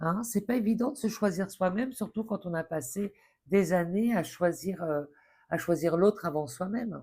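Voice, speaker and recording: A woman speaks at a moderate pace with a medium pitch. Her voice is somewhat breathy, and her intonation is lively. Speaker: tarot card reader. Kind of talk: tarot reading guidance. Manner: halting, many fillers.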